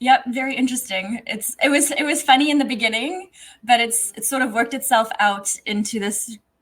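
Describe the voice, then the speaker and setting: Her pitch high and her pace fairly quick, a woman speaks with ordinary pitch variation and big swings in loudness. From South Africa. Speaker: HVAC technician and social media influencer. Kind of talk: casual interview.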